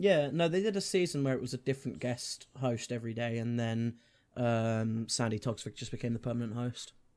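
At a fairly quick pace, a man with a medium pitch and ordinary pitch variation speaks in an ordinary speaking voice, on a very clean recording with a silent background. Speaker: podcast co-host. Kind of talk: casual chat.

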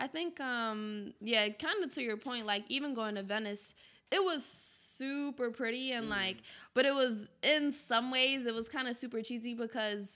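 With a Philadelphia accent, a woman speaks at a moderate pace in a high pitch, using a bright, sharp tone and ordinary pitch variation. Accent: Philadelphia American English. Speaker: university student. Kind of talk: casual chat.

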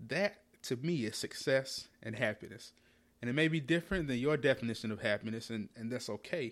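In a very clean recording with a silent background, a man with an American accent and an unremarkable speaking voice talks fairly quickly at a medium pitch with ordinary pitch variation. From North Carolina. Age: 20s. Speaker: podcast host, real estate agent. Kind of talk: solo podcast monologue.

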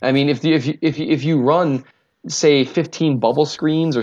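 Against a quiet background, a man talks with a Minnesotan accent. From US Minnesota. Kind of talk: casual chat about football. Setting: remote call.

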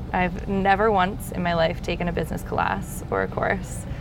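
Audible room echo and noticeable background noise fill the recording. A woman talks at a moderate pace. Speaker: winemaker. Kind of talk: casual chat. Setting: outdoors.

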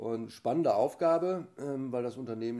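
The man has a dark, mellow tone and ordinary pitch variation. He speaks at a moderate pace. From Germany, Ruhr area (Essen). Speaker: equestrian team chef and sports official. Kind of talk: interview. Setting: at his home.

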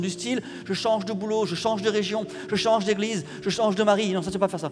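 A man talks at a fairly quick pace with a high pitch and ordinary pitch variation. Noticeable background noise runs underneath. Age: 40s. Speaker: pastor. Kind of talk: sermon.

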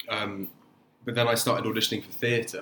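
Through noticeable background noise, a man with a medium pitch talks at a moderate pace with fairly even intonation. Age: 20s. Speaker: actor. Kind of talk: casual chat. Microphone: no microphone used, laptop-quality sound.

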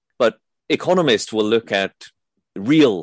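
An ordinary speaking voice: a man talking at a moderate pace with lively intonation. The sound is dry and close with no echo, over a quiet background. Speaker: economics commentator. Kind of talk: interview.

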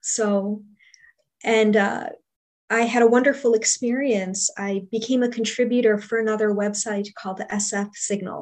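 A woman's fairly high voice, fairly slow and fairly even in intonation, an ordinary speaking voice. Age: 40s. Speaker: book reviewer and podcaster. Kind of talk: casual interview.

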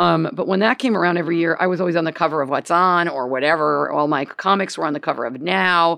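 In a plain, everyday voice, a woman speaks at a fairly low pitch with ordinary pitch variation against a quiet background. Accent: American. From Gainesville, US. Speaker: comedian. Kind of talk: casual chat. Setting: studio with live audience.

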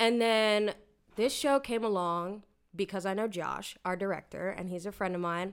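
A woman with an American accent speaks at a moderate pace and medium pitch, with ordinary pitch variation and an animated tone. The recording is very clean with a silent background. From Lancaster, Pennsylvania, US. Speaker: stage actor. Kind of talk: casual chat.

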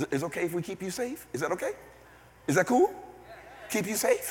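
A man talks at a very fast pace in an animated tone. His pitch swings very widely, with noticeable background noise. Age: 60s. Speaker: visiting preacher. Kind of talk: sermon. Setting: church.

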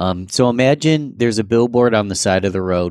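Heard on a very clean recording with a silent background, the voice has an American accent, an animated tone, ordinary pitch variation and a moderate pace, in a dry, close sound with no echo. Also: man. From New York. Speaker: podcast host. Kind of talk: casual interview chat.

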